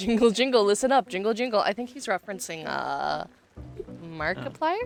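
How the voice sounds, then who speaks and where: Over music in the background, a woman talks at a medium pitch and fairly quick pace. Her tone is animated, with lively intonation and big swings in loudness. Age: 20s. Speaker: vtuber streamer. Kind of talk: casual chat.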